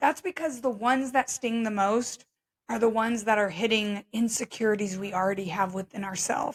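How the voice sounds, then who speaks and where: The intonation stays fairly even. It is a very clean recording with a silent background. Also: woman. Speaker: podcast host. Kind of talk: solo podcast monologue. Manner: conversational, reflective.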